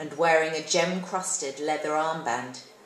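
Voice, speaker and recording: Noticeable background noise surrounds a woman who talks at a fairly slow pace. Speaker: actress. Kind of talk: short story reading. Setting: live event.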